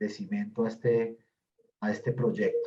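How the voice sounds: A man talks at a fairly slow pace, his tone dark and mellow.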